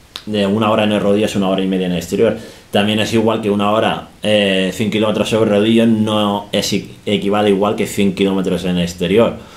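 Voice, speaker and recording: A man speaks in a monotone, flat way. There is audible room echo. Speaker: cycling coach. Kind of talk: tutorial talk on indoor training. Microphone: phone near.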